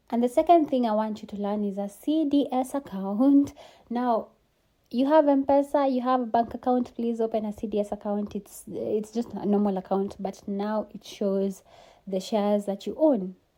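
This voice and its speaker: A woman speaks at a moderate pace. Her voice is fairly high, with a dark, mellow tone. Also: ordinary pitch variation. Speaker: investment and tax coach. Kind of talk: tutorial.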